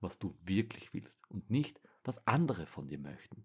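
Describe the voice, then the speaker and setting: Somewhat breathy, a man talks at a fairly slow pace. His intonation is lively. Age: 20s. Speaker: podcast host. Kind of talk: solo monologue.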